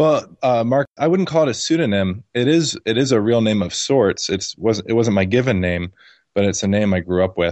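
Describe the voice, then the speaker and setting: A man's unremarkable speaking voice at medium pitch, moderate in pace, with lively intonation and very even loudness. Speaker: libertarian blogger. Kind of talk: casual interview conversation.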